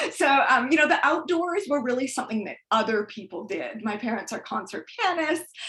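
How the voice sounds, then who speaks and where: Against noticeable background noise, a woman with a high pitch talks at a fairly quick pace with hardly any pauses, big swings in loudness and very wide pitch swings. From Canada, immigrant from former Soviet Union. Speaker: author and birder. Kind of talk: presentation talk.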